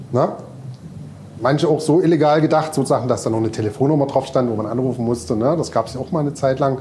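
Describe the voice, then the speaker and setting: Noticeable background noise sits under a man speaking at a very fast pace. His pitch is medium, with ordinary variation. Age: 40s. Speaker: DJ and festival organizer. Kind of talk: casual chat. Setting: club venue.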